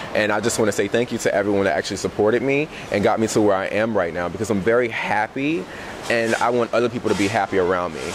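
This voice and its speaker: A man with a fairly low pitch talks very fast, with ordinary pitch variation. His loudness is very even, and background noise is noticeable. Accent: American. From US South, Augusta, Georgia. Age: 20s. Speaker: eyewear designer. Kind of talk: interview. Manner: animated.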